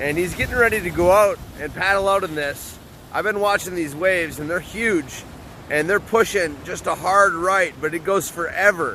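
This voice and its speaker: Over noticeable background noise, a man speaks in a raised, projected voice. His pitch is high for a man, with ordinary variation, at a moderate pace. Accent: American. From US Midwest (Upper Peninsula, Michigan). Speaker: podcast host. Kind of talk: casual interview. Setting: outdoors.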